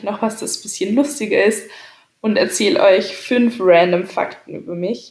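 Speaking at a fairly slow pace in a normal speaking voice, a woman uses ordinary pitch variation. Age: 20s. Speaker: podcaster. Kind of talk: casual monologue. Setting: home, on a couch.

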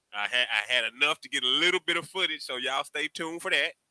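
This man has a plain, everyday voice. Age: 40s. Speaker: podcast co-host. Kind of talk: casual chat.

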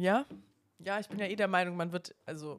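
A woman with a plain, everyday voice, fairly even intonation, and a fairly quick pace. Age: 20s. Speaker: spirituality podcast co-host. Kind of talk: casual chat.

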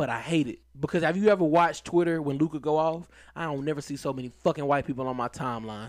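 On a very clean recording with a silent background, a man talks at a very fast pace. His pitch is fairly high, with ordinary variation. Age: 30s. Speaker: podcast host. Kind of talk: casual chat.

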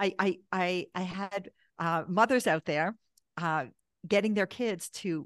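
With a Canadian accent and a normal speaking voice, a woman speaks at a fairly slow pace and medium pitch with lively intonation, in a dry, close sound with no echo and a quiet background. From Canada, Toronto. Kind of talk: podcast interview.

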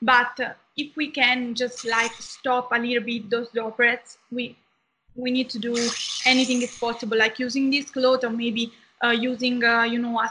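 A woman's high, bright and sharp voice with an Italian accent, flat and monotone, at a moderate pace. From southern Italy. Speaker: medical student. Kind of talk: interview. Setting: video call.

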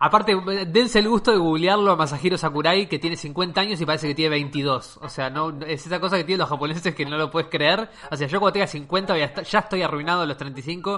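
A very fast, high-pitched man's voice in a Rioplatense accent, with ordinary pitch variation and hardly any pauses. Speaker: podcast host. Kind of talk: casual chat.

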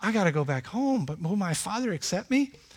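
Lively intonation from a man at a moderate pace, in a very clean recording with a silent background. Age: 50s. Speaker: pastor. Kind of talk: sermon. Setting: church.

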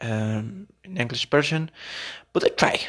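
Speaking with a Mexican accent, a man uses a medium-pitched voice with ordinary pitch variation. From Mexico. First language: Spanish. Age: 20s. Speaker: podcaster, gastronomy student. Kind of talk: casual monologue podcast. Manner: halting.

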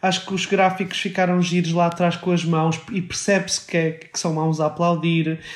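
A man's voice sits high in pitch. He speaks in a flat monotone. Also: moderate pace, hardly any pauses. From Portugal, not Porto. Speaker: podcast co-host. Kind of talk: casual chat.

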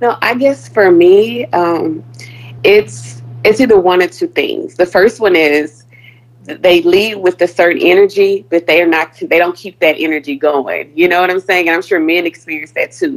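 A woman talks at a moderate pace in a medium pitch with lively intonation. It is an ordinary speaking voice. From Houston, Texas (Third Ward). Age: 30s. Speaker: caller seeking dating advice. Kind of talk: call-in advice conversation.

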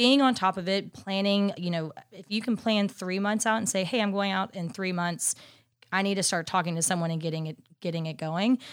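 This is an unremarkable speaking voice with an American accent and ordinary pitch variation. The pace is fairly quick, on a very clean recording with a silent background. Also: woman, medium pitch for a woman. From Dallas, Texas. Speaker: merchandise account manager. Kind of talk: interview.

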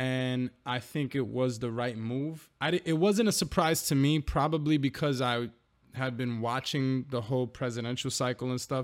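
A man with a normal speaking voice talks at a moderate pace, at a medium pitch with ordinary pitch variation. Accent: American. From New York. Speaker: podcast co-host and rapper. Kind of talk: casual chat.

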